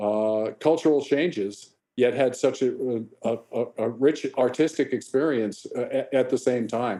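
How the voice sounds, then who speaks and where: A dark, mellow tone at a fairly slow pace. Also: man, medium pitch for a man, ordinary pitch variation. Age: 70s. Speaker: veteran live sound engineer. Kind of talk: interview. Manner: halting, many repetitions.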